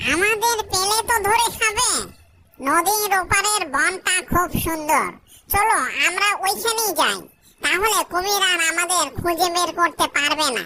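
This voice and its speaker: A woman puts on a cartoonish character voice at an extremely high pitch. She speaks at a moderate pace. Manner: sly, playful.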